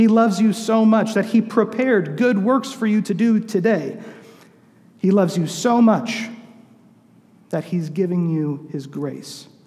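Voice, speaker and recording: A high-pitched man at a fairly slow pace, with long, frequent pauses and audible room echo. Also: ordinary pitch variation. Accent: American. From Southern California, later St. Louis. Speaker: youth pastor, guest preacher. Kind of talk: sermon. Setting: church.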